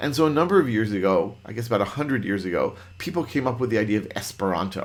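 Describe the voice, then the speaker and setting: Audible room echo surrounds a man speaking in an animated tone at a medium pitch. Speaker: Python trainer. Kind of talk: lecture. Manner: fast.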